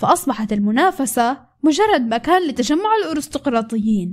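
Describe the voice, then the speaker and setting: A woman speaks high and at a fairly slow pace. Her pitch swings very widely. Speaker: story narrator, video creator. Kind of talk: reading aloud a story recap. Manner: animated; loud.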